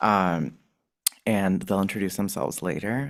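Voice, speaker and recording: A soft-spoken man talks at a fairly low pitch with ordinary pitch variation. The recording is very clean, with a silent background. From Ecuador. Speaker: installation artist. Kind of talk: artist talk. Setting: gallery talk with live audience, also streamed.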